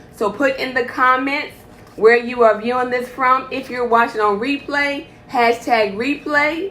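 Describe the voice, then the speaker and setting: The tone is animated, with ordinary pitch variation and a moderate pace. Noticeable background noise runs under the voice. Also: woman. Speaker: healthcare provider. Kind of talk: live stream health talk.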